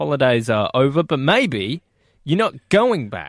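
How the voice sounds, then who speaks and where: A man with an Australian accent talks at a fairly slow pace with very wide pitch swings, on a very clean recording with a silent background. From Perth, Australia. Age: 20s. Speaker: radio host. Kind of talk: breakfast radio banter.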